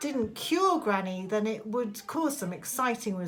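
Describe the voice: The delivery is plain reading aloud, carried by lively intonation.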